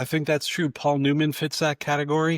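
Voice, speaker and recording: A man with an American accent and a fairly high pitch talks at a moderate pace in an ordinary speaking voice. The recording is very clean with a silent background and a dry, close sound with no echo. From New York. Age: 60s. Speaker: author and former film critic. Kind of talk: podcast interview.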